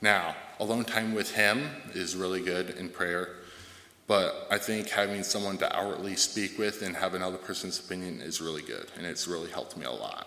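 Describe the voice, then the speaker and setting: Audible room echo surrounds a man speaking at a fairly quick pace in a fairly low voice with ordinary pitch variation. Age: 20s. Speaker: church member sharing testimony. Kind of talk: testimony.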